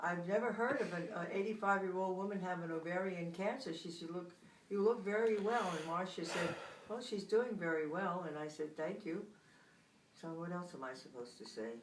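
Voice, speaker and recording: Fairly quick speech from a woman with ordinary pitch variation, audible room echo and noticeable background noise. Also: medium pitch for a woman. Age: 80s+. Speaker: grandmother interviewed by grandchild. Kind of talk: casual family interview.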